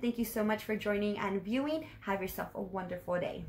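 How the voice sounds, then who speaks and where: A woman uses a put-on character voice that is raspy and medium in pitch. She goes at a fairly quick pace over clear background noise. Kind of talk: formal, courteous sign-off. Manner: polite, professional customer-service tone. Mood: cheerful, smiling.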